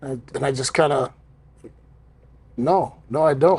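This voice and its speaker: The sound is dry and close, with no echo. The voice is somewhat breathy and moves at a moderate pace. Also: man. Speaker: professional wrestler. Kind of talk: podcast conversation. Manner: candid, storytelling.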